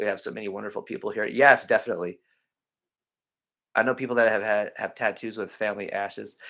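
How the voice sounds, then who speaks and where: This man talks at a very fast pace, broken by long, frequent pauses. The recording is very clean, with a silent background. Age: 40s. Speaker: cemetery explorer vlogger. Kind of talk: live stream chat reading comments. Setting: live stream. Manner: halting.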